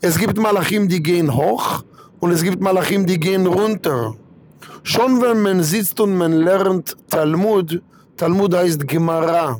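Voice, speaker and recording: Speaking at a very slow pace with an Israeli accent, a man uses a high pitch, ordinary pitch variation and very even loudness over noticeable background noise. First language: Hebrew (speaking German). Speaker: rabbi. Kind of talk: religious talk.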